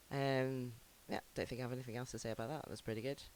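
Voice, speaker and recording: This man's voice sits at a medium pitch and moves with ordinary pitch variation. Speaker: online radio show host. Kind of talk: DJ links between songs.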